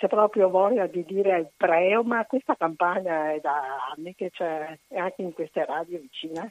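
A woman with an ordinary speaking voice talks at a moderate pace, her pitch medium with ordinary variation. The sound is dry and close, with no echo. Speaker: caller. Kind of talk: casual chat. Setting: phone call.

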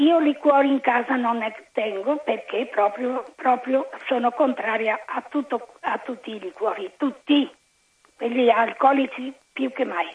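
Very slowly, a woman talks in a high pitch with ordinary pitch variation. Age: 80s+. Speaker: caller. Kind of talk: casual chat. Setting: phone call.

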